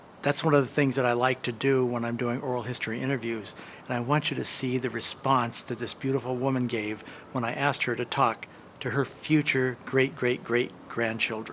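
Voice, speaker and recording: A man at a fairly quick pace, his intonation monotone and flat. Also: medium pitch for a man. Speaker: oral history interviewer. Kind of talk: interview questions and talk to camera.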